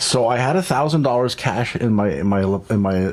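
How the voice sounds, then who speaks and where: The pace is fairly quick. Noticeable background noise can be heard. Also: man. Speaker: podcast host. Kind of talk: casual chat.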